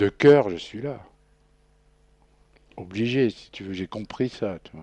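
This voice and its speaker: A man's dark, mellow voice at a fairly low pitch, very slow, with long, frequent pauses, big swings in loudness and ordinary pitch variation. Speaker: guest recounting imprisonment experience. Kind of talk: radio interview. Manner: casual, hesitant with fillers.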